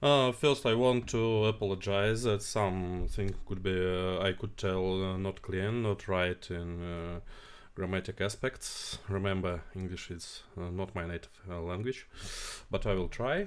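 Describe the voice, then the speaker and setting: Very deep, low-pitched man's voice in a Russian accent, fairly even intonation, fairly slow pace, very clean recording with a silent background. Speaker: tech company CEO. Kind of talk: live stream Q&A. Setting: live stream. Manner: halting, many fillers.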